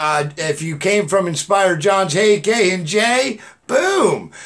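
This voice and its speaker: A man with a high voice and ordinary pitch variation. Background noise is noticeable. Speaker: YouTube livestream host. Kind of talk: live stream chat. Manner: loud; animated.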